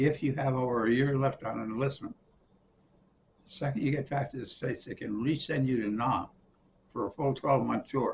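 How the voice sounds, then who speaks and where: A man with an American accent speaks at a moderate pace, his pitch medium. His voice is somewhat breathy, with fairly even intonation. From Colorado, USA. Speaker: war veteran; physician's assistant. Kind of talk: interview answer. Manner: casual, conversational.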